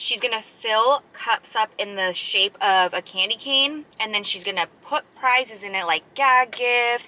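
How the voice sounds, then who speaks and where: Noticeable background noise sits under this fairly slow delivery, which carries ordinary pitch variation. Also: woman, fairly high pitch for a woman. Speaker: mukbang vlogger. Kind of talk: casual chat while eating. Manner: casual, filler-heavy.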